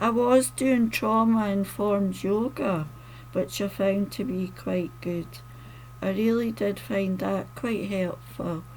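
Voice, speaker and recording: A woman with a slight Scottish accent speaks at a very slow pace. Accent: mildly Scottish, toned down. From Scotland. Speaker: poet and author. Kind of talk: casual talk to camera.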